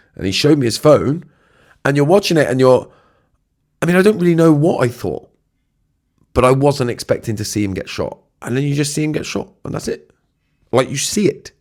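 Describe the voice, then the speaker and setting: A man's fairly high voice with lively intonation and a British accent, long, frequent pauses, on a very clean recording with a silent background. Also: fairly quick pace. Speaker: podcast host. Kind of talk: solo podcast reflection. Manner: casual, halting with fillers.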